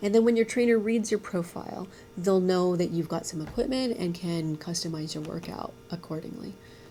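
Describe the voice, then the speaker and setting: Over noticeable background noise, a woman talks at a fairly quick pace in a medium pitch with ordinary pitch variation. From United States (born in Vietnam). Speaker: startup founder. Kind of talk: interview. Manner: halting.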